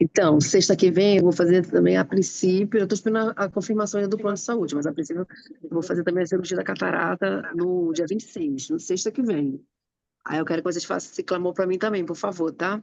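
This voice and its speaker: A woman's fairly low voice with a dark, mellow tone, ordinary pitch variation and a fairly quick pace. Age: 50s. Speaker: prayer group member. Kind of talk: casual chat.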